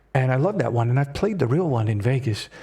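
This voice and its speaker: Over noticeable background noise, a man with a medium pitch talks at a very fast pace in an animated tone, his pitch swinging very widely. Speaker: streamer. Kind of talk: live gameplay commentary.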